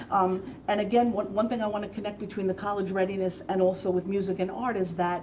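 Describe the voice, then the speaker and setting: A woman talking at a fairly quick pace, with audible room echo and noticeable background noise. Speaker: school board member. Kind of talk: comments at board meeting. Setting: school board meeting.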